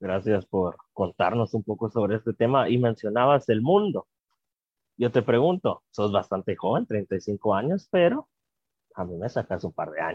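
Speaking at a medium pitch with lively intonation, a man has a plain, everyday voice. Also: fairly slow pace. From Guatemala. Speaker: podcast host. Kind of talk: interview.

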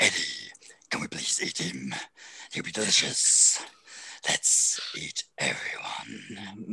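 In a put-on character voice, the speaker sounds low, raspy and menacing, moving at a fairly slow pace with long, frequent pauses. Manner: hungry, menacing.

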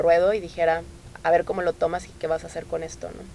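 Her pitch fairly low, a woman speaks at a fairly quick pace in a monotone, flat way. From Tamaulipas, Mexico. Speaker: NGO coordinator. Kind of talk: interview.

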